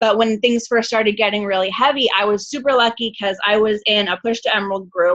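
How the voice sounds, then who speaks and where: A woman's fairly high voice at a fairly quick pace, with hardly any pauses and very even loudness. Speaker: network marketing coach, guest speaker. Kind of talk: motivational team call talk. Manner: fast; casual, animated.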